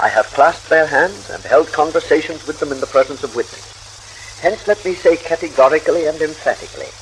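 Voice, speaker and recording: Noticeable background noise fills the recording. A man speaks at a moderate pace. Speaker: spiritualist leader and editor. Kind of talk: radio talk. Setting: vintage radio broadcast recording.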